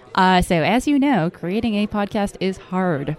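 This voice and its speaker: Delivered at a moderate pace, an ordinary speaking voice carries lively intonation. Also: woman. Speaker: startup CEO and podcast company co-founder. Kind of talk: casual interview chat. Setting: conference booth recording.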